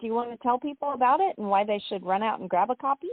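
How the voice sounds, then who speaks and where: Speaking in a plain, everyday voice with an American accent, a woman talks at a fairly high pitch with ordinary pitch variation. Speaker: podcast host and author. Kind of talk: interview. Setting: online radio show.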